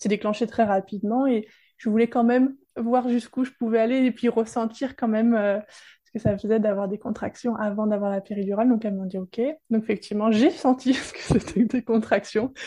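A woman's somewhat breathy, dark and mellow voice at a fairly high pitch, fairly quick pace and fairly even intonation against a quiet background. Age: 30s. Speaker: women's support practitioner. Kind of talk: testimony.

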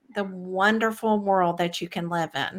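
With a Texan accent, a woman speaks at a very slow pace. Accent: Texan American. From Texas. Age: 50s. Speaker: spiritual medium and author. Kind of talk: interview.

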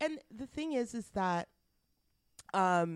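A woman with a Canadian accent and very wide pitch swings. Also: dry, close sound with no echo. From western Canada. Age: 30s. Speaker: podcast co-host. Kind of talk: casual chat. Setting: guest's office.

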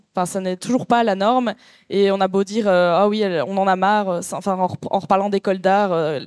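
This is a plain, everyday voice. Its intonation stays fairly even. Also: woman, very clean recording, silent background. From Belgium. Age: 30s. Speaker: artist. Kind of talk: panel discussion. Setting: venue with live audience.

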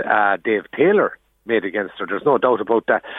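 Speaking very fast, a man talks in an Irish accent. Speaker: journalist. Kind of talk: radio interview.

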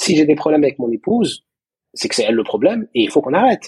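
Very wide pitch swings mark a man's fairly high voice as he talks very fast, in a dry, close sound with no echo. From Moroccan heritage. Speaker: psychologist and couples therapist. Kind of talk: interview. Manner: halting, repeats words.

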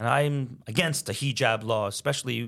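With a Montreal accent, a man speaks using ordinary pitch variation. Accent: Canadian English, Montreal anglophone. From Quebec, Canada (Montreal anglophone). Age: 50s. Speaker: businessman and former lawyer. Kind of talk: interview conversation. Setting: studio.

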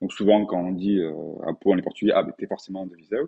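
A man talks in a very deep, low pitch. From France, Pau. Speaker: painter. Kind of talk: interview. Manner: halting.

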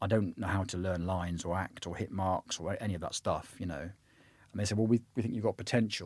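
Over a silent background in a very clean recording, a man with a West Country accent talks at a very fast pace, with a fairly low pitch and ordinary pitch variation. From southwest England. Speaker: actor. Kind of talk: interview conversation.

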